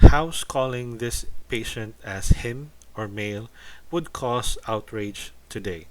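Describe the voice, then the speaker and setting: A man speaks at a very slow pace in a Filipino accent. His pitch is medium, with ordinary variation. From Philippines. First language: Tagalog. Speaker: YouTuber commentator. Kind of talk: casual commentary video. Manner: halting, repeats words.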